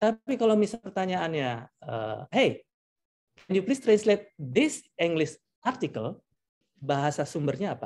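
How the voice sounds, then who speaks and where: Fairly slow in pace, a man speaks in a high pitch with very wide pitch swings. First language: Javanese (speaking Indonesian). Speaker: translator. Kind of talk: lecture.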